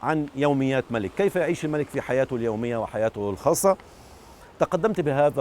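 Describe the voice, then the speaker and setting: With lively intonation and medium pitch, a man speaks in a plain, everyday voice. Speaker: documentary filmmaker. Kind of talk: interview answer.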